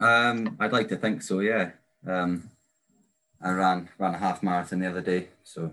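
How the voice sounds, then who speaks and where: Against a quiet background, a man with an Aberdeen accent and a very deep, low pitch speaks with fairly even intonation and long, frequent pauses. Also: moderate pace. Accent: Scottish, Aberdeen area. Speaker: interviewer, listener volunteer. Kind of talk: casual interview.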